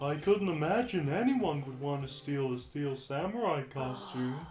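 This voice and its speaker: A man puts on a character voice, fairly high-pitched, at a moderate pace over clear background noise. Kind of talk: video game dub.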